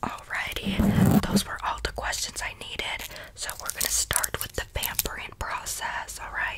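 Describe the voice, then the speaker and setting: A soft-spoken woman talks at a fairly slow pace. Loud background noise runs underneath. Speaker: roleplay pampering host. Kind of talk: ASMR roleplay chat. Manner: soft close ASMR voice. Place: home room. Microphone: earbuds.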